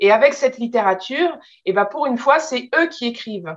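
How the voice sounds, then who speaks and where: With an unremarkable speaking voice, a woman speaks at a moderate pace using lively intonation. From France. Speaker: translator and publisher. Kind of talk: interview.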